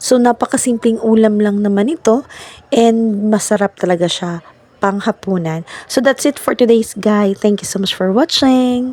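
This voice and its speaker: Against noticeable background noise, a woman speaks at a fairly slow pace with a fairly high pitch, the sound dry and close with no echo. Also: ordinary pitch variation. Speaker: vlogger. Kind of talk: cooking vlog.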